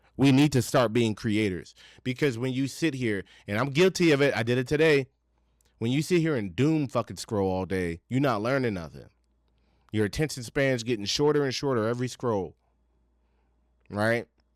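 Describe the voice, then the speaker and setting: An American-accented man at a medium pitch, lively in intonation, at a moderate pace with long, frequent pauses. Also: very clean recording, silent background. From Virginia. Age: 30s. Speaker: podcast host. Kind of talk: casual rant to camera. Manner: animated.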